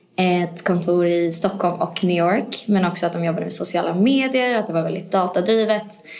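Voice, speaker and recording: Her pitch is medium and her pitch variation ordinary as this woman talks at a moderate pace. The room echo is audible, along with noticeable background noise. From Sweden. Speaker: managing director. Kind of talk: casual interview. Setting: conference room.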